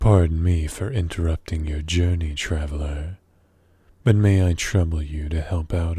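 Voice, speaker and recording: In a put-on character voice, a man speaks fairly slowly with a very deep, low pitch. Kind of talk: ASMR roleplay. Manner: polite, coaxing.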